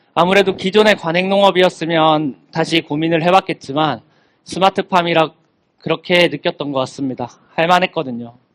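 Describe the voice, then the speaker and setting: A man with a high pitch speaks at a moderate pace and ordinary pitch variation, in a dry, close sound with no echo. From South Korea, Gimhae (Gyeongnam). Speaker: young farmer, speaker. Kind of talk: talk to students. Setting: stage with audience.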